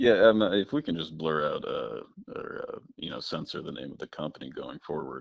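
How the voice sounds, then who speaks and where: A man speaks at a moderate pace, his loudness swinging widely and his words broken by long, frequent pauses. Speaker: truck driver and improviser. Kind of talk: casual chat. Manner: calm; hesitant.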